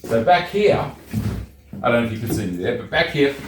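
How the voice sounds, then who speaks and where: Noticeable background noise and audible room echo accompany a man of medium pitch who talks at a moderate pace with an Australian accent. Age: 60s. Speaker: YouTuber, DIY homeowner. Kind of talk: casual vlog tutorial.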